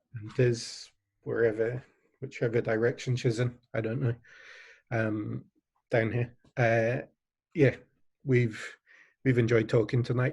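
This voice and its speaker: A man with an English accent speaks at a fairly slow pace, leaving long, frequent pauses. His medium-pitched voice is somewhat breathy, and his intonation is monotone and flat. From England. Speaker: online charity event host. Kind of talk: closing remarks at online fundraiser. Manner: hesitant, many fillers.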